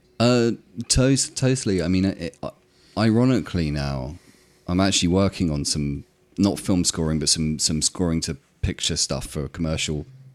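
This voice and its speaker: Using a southern English accent, a man with a very deep, low pitch talks at a fairly quick pace with lively intonation. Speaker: electronic music producer. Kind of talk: casual interview. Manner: halting.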